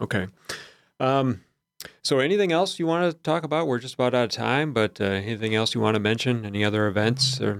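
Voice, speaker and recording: On a very clean recording with a silent background, a man with an unremarkable speaking voice talks at medium pitch and a fairly quick pace, his intonation lively. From southern Wisconsin. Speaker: radio host. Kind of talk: radio interview; radio show intro. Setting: studio.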